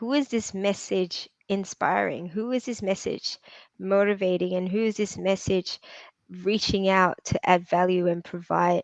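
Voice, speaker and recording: A woman speaks fairly slowly at a medium pitch with fairly even intonation, in a dry, close sound with no echo and a quiet background. She has an ordinary speaking voice. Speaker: property entrepreneur and podcast host. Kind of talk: interview. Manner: repetitive, many fillers and restarts.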